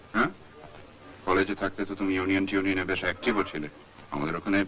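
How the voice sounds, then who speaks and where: A man speaks at a fairly low pitch. There is light background noise. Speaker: film director. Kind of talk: film dialogue dub. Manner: natural, own normal voice. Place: studio. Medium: dub.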